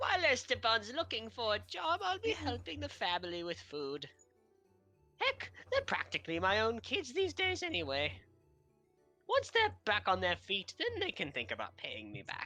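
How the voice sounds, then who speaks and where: Over faint background music, a man does a put-on character voice at a moderate pace. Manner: warm, kindly.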